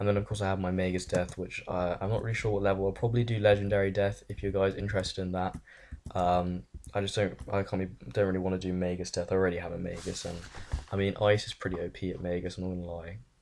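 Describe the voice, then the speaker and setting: A man speaks very fast with an English accent. His pitch is very deep and low, and his intonation stays flat and monotone. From England. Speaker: gaming youtuber. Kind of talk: casual Q&A chat. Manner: casual, filler-heavy.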